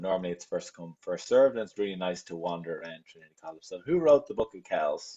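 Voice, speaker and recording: A man with a Dublin accent at a very fast pace. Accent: Irish, Dublin. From Ireland, Dublin. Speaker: travel agent, webinar host. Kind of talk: quiz in a live webinar. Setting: video call webinar.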